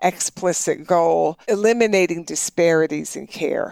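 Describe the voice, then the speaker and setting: A woman has an unremarkable speaking voice at a medium pitch with ordinary pitch variation. The sound is dry and close, with no echo. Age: 60s. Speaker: health economist, professor. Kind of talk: interview. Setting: in-person office interview.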